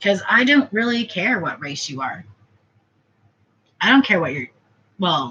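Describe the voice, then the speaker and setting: Speaking at a very slow pace, a woman is heard. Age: 30s. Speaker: vlogger. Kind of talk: casual monologue vlog.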